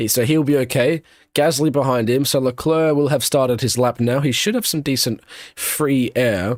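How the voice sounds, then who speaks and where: This man speaks with an Australian accent at a moderate pace. His voice sits at a medium pitch and rises and falls in an ordinary way. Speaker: F1 watchalong streamer. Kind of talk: live commentary. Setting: live stream. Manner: halting with self-corrections.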